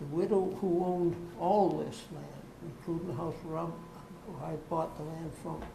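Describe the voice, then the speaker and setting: Amid noticeable background noise and audible room echo, a woman with a fairly low pitch talks at a fairly slow pace with fairly even intonation. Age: 90s. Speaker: property owner seeking a variance. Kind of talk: public hearing testimony. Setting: public board meeting. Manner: halting.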